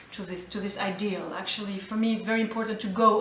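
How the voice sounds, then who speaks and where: Speech comes at a moderate pace, with noticeable background noise and audible room echo. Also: woman. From Albania, then Geneva, Switzerland. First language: Albanian. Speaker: jazz vocalist. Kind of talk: interview. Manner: halting, with many fillers.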